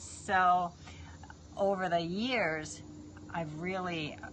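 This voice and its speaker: A woman's fairly low voice with an American accent, audible room echo and noticeable background noise. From New York. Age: 50s. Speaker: fitness trainer. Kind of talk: live stream chat. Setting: live video stream.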